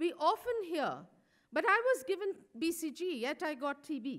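A woman speaking, quiet background behind her. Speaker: speaker. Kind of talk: conference speech. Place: hall. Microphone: podium.

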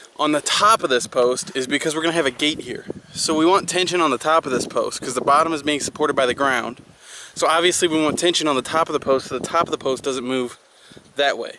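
Talking at a very fast pace with ordinary pitch variation, a man is heard in a dry sound with no echo over noticeable background noise. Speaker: farmer vlogger. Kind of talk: tutorial. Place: farm. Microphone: phone near.

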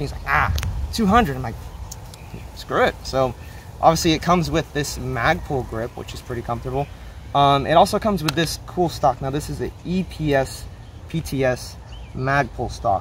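At a moderate pace, a man speaks with big swings in loudness, in a dry sound with no echo and light background noise. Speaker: hobbyist reviewer. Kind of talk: casual product review vlog. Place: garden.

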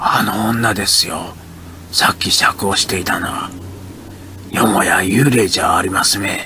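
With clear background noise behind him, a man speaks at a fairly slow pace in a fairly low pitch, using fairly even intonation and long, frequent pauses. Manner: low, hushed voice.

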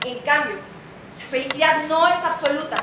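A woman speaks in a raised, projected voice with fairly even intonation. Audible room echo and light background noise are present. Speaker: stage actress. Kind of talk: theatrical monologue. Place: stage. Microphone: camera far.

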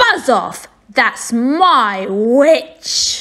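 In a put-on character voice, a woman growls in a croaky, high-pitched way. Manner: menacing, snarling.

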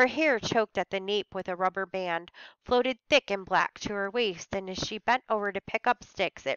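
Quiet background, a natural reading voice, ordinary pitch variation.

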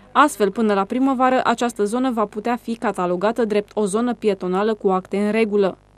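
A woman has an ordinary speaking voice with a fairly high pitch and fairly even intonation. She talks at a fairly quick pace with hardly any pauses. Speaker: news reporter. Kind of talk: news narration. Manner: formal.

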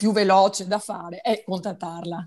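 Fairly slow female speech in a quiet background. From Italy. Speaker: patient, shop owner. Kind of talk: testimony. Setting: video call. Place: home room. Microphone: earbuds.

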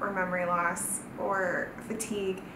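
A woman with a Southern Californian accent, with audible room echo and clear background noise

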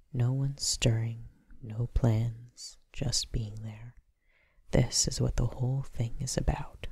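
Soft-spoken, the voice moves at a very slow pace. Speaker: ASMR poetry reader. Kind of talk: poetry reading.

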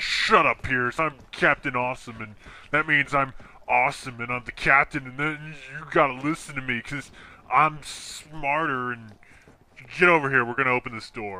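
At a moderate pace, a man speaks in a medium pitch with fairly even intonation and big swings in loudness. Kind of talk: comic overacting. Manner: pompous, bossy, exasperated.

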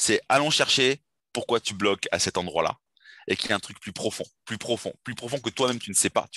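An enthusiastic man talks at a fairly quick pace. The recording is dry and close with no echo, over a quiet background. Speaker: dating coach. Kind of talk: interview conversation.

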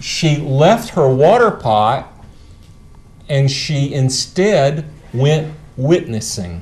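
Very slow and full of long, frequent pauses, a man speaks at a fairly high pitch. His pitch swings very widely. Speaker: preacher and seminary professor. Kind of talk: lecture. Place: classroom.

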